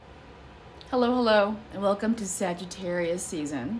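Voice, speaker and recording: Against light background noise, a woman with a medium-pitched voice talks at a fairly slow pace. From US Midwest, Chicago. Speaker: psychic entertainer. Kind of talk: casual horoscope talk. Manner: hesitant, many fillers. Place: home room. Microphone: phone near.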